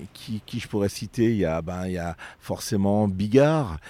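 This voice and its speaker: With ordinary pitch variation, a man's fairly low voice comes through a very clean recording, its background silent and the sound dry and close with no echo. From France, Vienne (Isère, near Lyon). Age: 50s. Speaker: comedian. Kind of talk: casual interview. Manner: halting, frequent repetitions.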